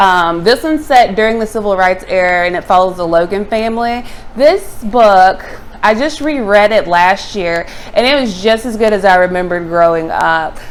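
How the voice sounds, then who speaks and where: A woman at a medium pitch with lively intonation and a moderate pace, against noticeable background noise. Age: 30s. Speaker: booktuber. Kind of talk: casual vlog talk. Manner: hesitant, many fillers.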